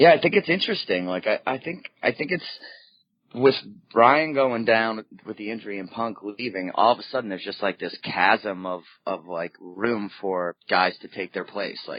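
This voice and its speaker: A man with an American accent speaks at a fairly low pitch with lively intonation. His loudness swings widely. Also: moderate pace. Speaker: stand-up comedian. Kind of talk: casual chat. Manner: halting.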